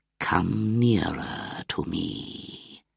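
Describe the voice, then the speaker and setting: A man's put-on character voice, very deep and low in pitch, with hissing. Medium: read story. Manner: slow, hissing.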